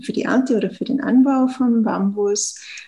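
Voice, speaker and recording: A woman talks at a very slow pace in a Tyrolean accent, somewhat breathy. Her tone is dark and mellow, with ordinary pitch variation. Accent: Tyrolean Austrian. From Austria, Tyrol. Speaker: startup founder. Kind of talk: interview. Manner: hesitant, frequent fillers.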